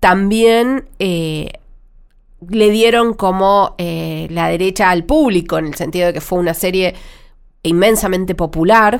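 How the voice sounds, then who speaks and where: A fairly slow pace from a woman, her pitch medium and its variation ordinary. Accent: Rioplatense. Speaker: TV critic and podcast co-host. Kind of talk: casual chat.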